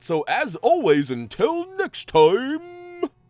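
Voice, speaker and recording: A man talks at a very slow pace in a put-on character voice. His pitch is extremely high. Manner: heroic, theatrical.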